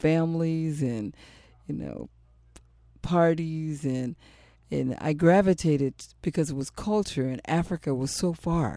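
A man talks at a fairly slow pace in a fairly high pitch with ordinary variation. His tone is dark and mellow, and the recording is very clean with a silent background. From San Diego, Barrio Logan. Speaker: reggae radio host. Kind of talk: bilingual radio show talk.

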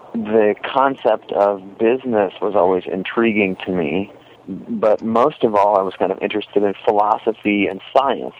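At a moderate tempo, a man talks with ordinary pitch variation. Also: fairly low pitch for a man. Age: 30s. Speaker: commercial photographer. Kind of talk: casual chat. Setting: outdoors.

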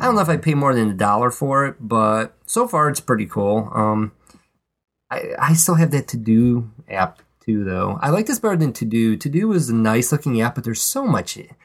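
A man's unremarkable speaking voice at medium pitch, moderate pace and lively intonation. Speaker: podcast co-host. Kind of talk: casual chat. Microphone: old podcast mic, not the new one.

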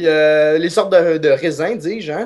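A plain, everyday voice, its pitch varying in an ordinary way. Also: man. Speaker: humor columnist. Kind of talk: comedic segment.

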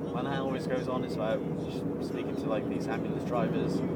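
Noticeable background noise plus audible room echo around a man talking. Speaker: vlogger recording a driving voice memo. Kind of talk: casual monologue while driving. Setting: in a car. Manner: rambling with many fillers.

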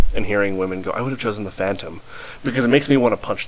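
Against noticeable background noise, a man speaks in a fairly low voice. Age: 20s. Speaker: podcast co-host and college radio host. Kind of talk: casual chat. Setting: home recording.

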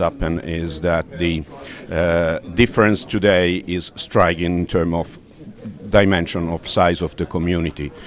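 Against noticeable background noise, a man talks at a fairly slow pace in a very deep, low pitch with monotone, flat intonation. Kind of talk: interview. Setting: conference booth.

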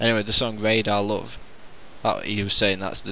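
The speech comes at a fairly quick pace in monotone, flat intonation, with audible room echo. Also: man. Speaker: podcast host. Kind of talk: casual chat.

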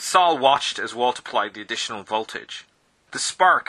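Reading aloud in a natural voice, with lively intonation and a quiet background

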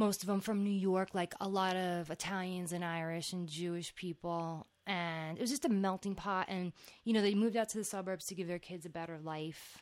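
A woman with a New Jersey accent, moderate pace, fairly even intonation, and hardly any pauses. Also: medium pitch for a woman. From New Jersey (Old Bridge). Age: 30s. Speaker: podcast host. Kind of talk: casual chat.

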